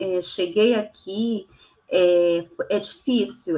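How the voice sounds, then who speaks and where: A woman speaks with ordinary pitch variation. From Brazil, Amazonas (Tefé). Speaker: poet and translator. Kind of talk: interview. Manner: halting, many fillers.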